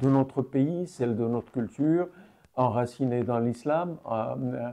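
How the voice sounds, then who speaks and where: A man's medium-pitched voice, dark and mellow in tone, with ordinary pitch variation and a quiet background. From Morocco (Fès, Casablanca). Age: 70s. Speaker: activist. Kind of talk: interview testimony. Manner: hesitant, many fillers.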